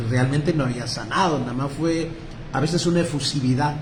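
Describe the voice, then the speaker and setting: Over noticeable background noise and audible room echo, a man speaks at a fairly quick pace. His pitch is fairly high and his intonation lively. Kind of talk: lecture. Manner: halting, many repetitions.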